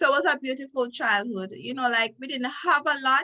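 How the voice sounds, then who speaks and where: In a Jamaican accent, a woman with a high, bright, sharp voice talks at a moderate pace with ordinary pitch variation. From Jamaica, Trelawny parish. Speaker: lawyer. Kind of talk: interview.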